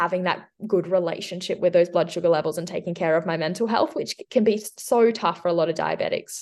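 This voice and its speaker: A woman with an Australian accent speaks at a very fast pace with hardly any pauses. Her pitch is fairly low, with ordinary pitch variation. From Western Australia. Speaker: nutritionist and crossfit coach. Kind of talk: casual interview.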